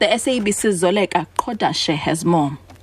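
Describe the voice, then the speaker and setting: Through noticeable background noise, a woman speaks at a fairly slow pace with lively intonation. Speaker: radio newsreader. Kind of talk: news reading. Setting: radio studio broadcast. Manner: formal, brisk and even-toned, newsreader delivery.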